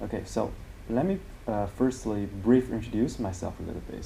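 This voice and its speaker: A man with a Chinese accent talks at a moderate pace in a fairly low pitch. His pitch variation is ordinary, and audible room echo surrounds his voice. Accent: Mandarin Chinese. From China. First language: Mandarin Chinese. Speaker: language teacher. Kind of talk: tutorial. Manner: halting.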